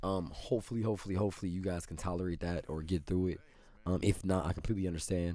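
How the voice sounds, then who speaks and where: A man speaks very fast in a very deep, low voice with a dark, mellow tone and ordinary pitch variation. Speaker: gaming video creator. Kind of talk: channel update monologue. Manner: casual, filler-heavy.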